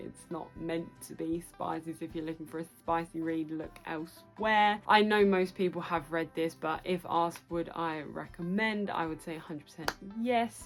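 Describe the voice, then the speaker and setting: A woman with a fairly low voice talks at a moderate pace over background music. Her loudness swings widely, and she hardly pauses. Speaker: book vlogger. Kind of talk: casual talk to camera. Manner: chatty, enthusiastic.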